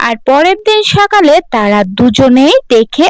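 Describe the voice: The voice has a clear, smooth tone and a fairly slow pace. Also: woman.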